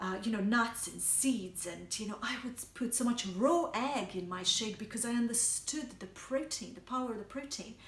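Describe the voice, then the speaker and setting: A woman in a Bosnian accent, fairly high-pitched, with ordinary pitch variation, a fairly slow pace and audible room echo. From Bosnia and Herzegovina. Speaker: health coach. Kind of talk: personal story monologue. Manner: hesitant, many fillers.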